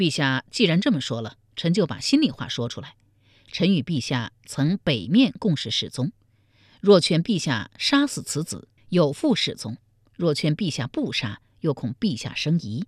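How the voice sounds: In a very clean recording with a silent background, a woman uses a put-on character voice with a low pitch, a slightly husky edge and big pitch swings, speaking at a moderate pace in a dry, close sound with no echo.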